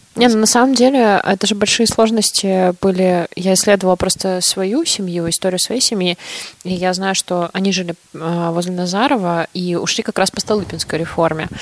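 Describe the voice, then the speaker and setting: A woman's medium-pitched voice at a moderate pace with ordinary pitch variation, dry and close with no echo, over noticeable background noise. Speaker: podcast co-host. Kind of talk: casual chat.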